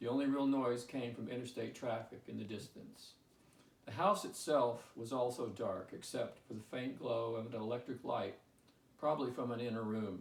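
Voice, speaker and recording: Delivered at a moderate pace, the speech has fairly even intonation and a somewhat breathy quality. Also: man, medium pitch for a man. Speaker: author. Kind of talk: audiobook reading.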